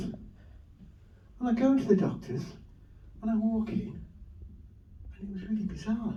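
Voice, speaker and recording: Speaking with a Lancashire accent at a fairly slow pace, a man with a high pitch and ordinary pitch variation is heard amid noticeable background noise and audible room echo. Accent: Wigan. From northern England, Wigan. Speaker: comedian. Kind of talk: stand-up. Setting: stage with audience.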